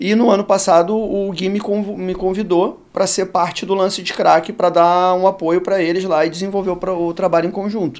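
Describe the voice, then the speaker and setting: A man talks with a high pitch, fairly even intonation and a moderate pace. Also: hardly any pauses. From Rio de Janeiro, Brazil. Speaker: sports marketing executive. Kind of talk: podcast interview. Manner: casual, with some hesitations.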